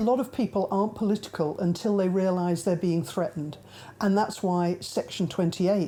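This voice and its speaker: A woman with a British accent and a dark, mellow tone speaks at a fairly quick pace and medium pitch with ordinary pitch variation. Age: 60s. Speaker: activist. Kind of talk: documentary interview.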